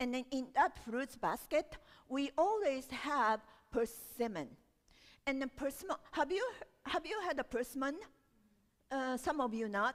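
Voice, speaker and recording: A woman with a high voice speaks fairly slowly, leaving long, frequent pauses. Her tone is animated and her intonation lively. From Japan, Osaka. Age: 60s. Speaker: storyteller. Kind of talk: storytelling performance.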